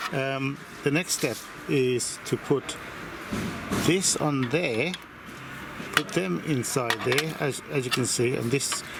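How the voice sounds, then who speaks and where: With noticeable background noise, the speech moves at a very slow pace with long, frequent pauses and ordinary pitch variation. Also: man, medium pitch for a man. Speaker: hobbyist model engine builder. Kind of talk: workshop tutorial. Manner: loud; hesitant, many fillers.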